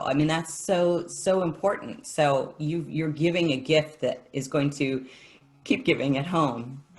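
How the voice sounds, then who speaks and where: Moderate pace and ordinary pitch variation, with music in the background. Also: woman. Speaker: music teacher. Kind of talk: casual chat.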